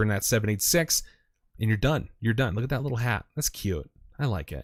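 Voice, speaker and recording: Speaking at a fairly quick pace, a man with a medium-pitched, somewhat breathy voice uses an animated tone and lively intonation. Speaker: crypto chart analyst streamer. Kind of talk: live stream technical analysis. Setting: live stream.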